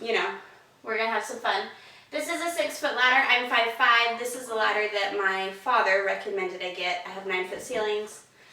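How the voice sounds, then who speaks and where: Amid noticeable background noise and audible room echo, a woman talks at a fairly quick pace, her fairly high pitch showing ordinary variation. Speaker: home decor vlogger. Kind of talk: casual tutorial. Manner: casual with filler ums.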